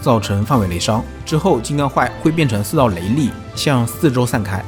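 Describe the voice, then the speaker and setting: Music runs behind a man who speaks at medium pitch and a fairly quick pace with lively intonation. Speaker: game guide creator. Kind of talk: game guide narration.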